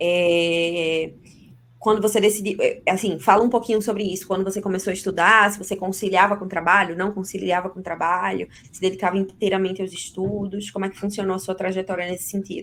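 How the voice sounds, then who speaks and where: A woman's medium-pitched voice at a fairly quick pace, monotone and flat in intonation, with big swings in loudness. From Brazil, Recife. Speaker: interviewer, co-founder of exam prep company. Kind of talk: interview.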